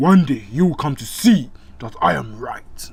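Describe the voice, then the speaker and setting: Using a put-on character voice, a man speaks at a medium pitch. His pace is moderate. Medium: read story. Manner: proud, commanding.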